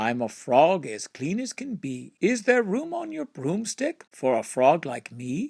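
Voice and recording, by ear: Putting on a croaky character voice with a high pitch, a man speaks at a fairly slow pace with hardly any pauses on a very clean recording with a silent background.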